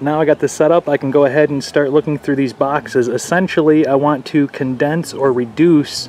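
A man's fairly even intonation and moderate pace come through light background noise. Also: dry sound with no echo. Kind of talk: tutorial. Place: garden. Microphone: phone near.

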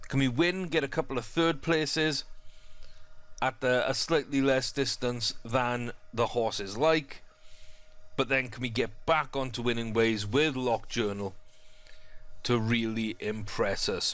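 A man's medium-pitched voice at a fairly slow pace, with ordinary pitch variation, long, frequent pauses and music in the background. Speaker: gaming YouTuber. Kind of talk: live race commentary over gameplay. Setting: gameplay voiceover. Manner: casual, chatty, upbeat.

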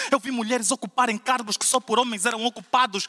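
Raised and projected, a man's voice rings out at an extremely high pitch with a bright, sharp tone. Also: quiet background. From Portugal. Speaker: slam poet. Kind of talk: spoken word poetry performance, rhymed and rhythmic. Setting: stage with audience at a slam final. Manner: impassioned, declamatory, rhythmic with punchy rhymes; emphatic, building in intensity toward a rousing close. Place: church.

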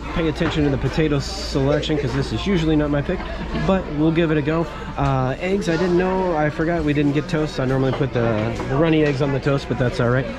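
A man talks at a very fast pace. Crowd noise can be heard in the background. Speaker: food vlogger. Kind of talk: casual food review chat. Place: cafe. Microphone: phone near.

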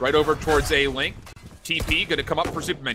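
Over music in the background, a man talks at a very fast pace in an excited, animated tone. His pitch is fairly high. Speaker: esports commentator. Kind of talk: live esports commentary, play-by-play of a Valorant match. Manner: fast, fluent play-by-play delivery, rising and falling with the action; excited, animated in key moments, mostly measured and analytical.

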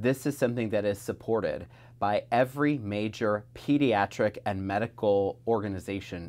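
At a moderate pace, the delivery keeps very even loudness and ordinary pitch variation. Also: man. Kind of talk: interview answer. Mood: earnest, critical. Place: office.

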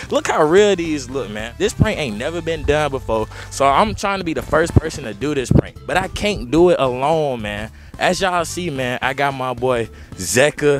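A man talks at a moderate pace with clear music playing behind him. The sound is dry, with no echo. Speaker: prank vlogger. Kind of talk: casual vlog chat. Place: street. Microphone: lapel.

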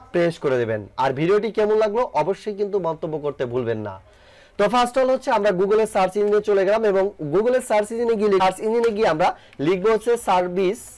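A man talks in a high pitch with ordinary pitch variation. His loudness stays very even. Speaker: tech YouTuber. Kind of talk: tutorial. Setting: screen recording at computer.

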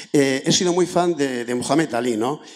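Quiet surrounds this man. He talks fairly quickly. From rural Basque Country. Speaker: audience member. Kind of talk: audience question. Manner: halting. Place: hall.

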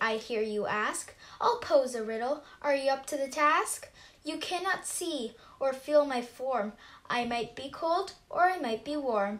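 Using a cartoonish character voice, a woman speaks high-pitched at a fairly slow pace with lively intonation. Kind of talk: rhyming mummers' verse. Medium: puppet show. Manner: airy, riddling, then ailing.

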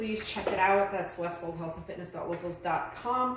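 A woman is speaking over light background noise. The room echo is audible. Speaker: fitness instructor. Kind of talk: tutorial. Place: gym. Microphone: camera far.

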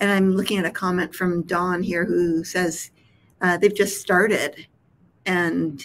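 At a fairly slow pace, a woman with a fairly low pitch speaks in a monotone, flat intonation. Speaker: nonprofit executive director, interviewer; interviewer. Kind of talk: interview conversation. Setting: live stream video call. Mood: warm, friendly. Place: home room.

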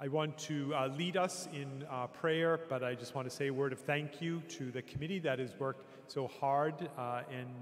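The pitch variation is ordinary. A man delivers his words at a moderate pace. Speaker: priest welcoming the audience. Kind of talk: welcome remarks and opening prayer. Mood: warm, welcoming. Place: church. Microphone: podium.

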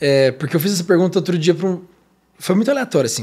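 A man speaks in a high pitch against a quiet background. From interior of São Paulo state, Brazil. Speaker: podcast host. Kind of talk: casual interview. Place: studio. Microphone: studio mic.

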